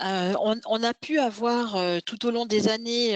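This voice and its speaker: This woman's voice sits fairly high, with ordinary pitch variation. The sound is dry and close, with no echo. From Switzerland. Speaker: tech company founder. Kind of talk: webinar presentation.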